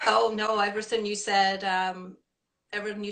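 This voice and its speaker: A woman speaks with a Scottish accent. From Scotland. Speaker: women's shelter executive director. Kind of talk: interview.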